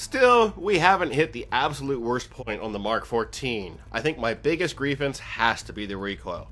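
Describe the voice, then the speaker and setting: A man talks at a moderate pace in a medium pitch, his intonation lively. Noticeable background noise runs beneath him. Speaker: gaming video reviewer. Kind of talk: game review narration.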